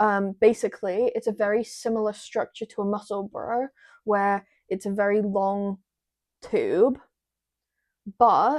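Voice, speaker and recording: A woman's fairly high, monotone voice at a fairly slow pace, long pauses coming often, dry and close with no echo. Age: 20s. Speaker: knitting podcaster. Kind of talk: casual chat.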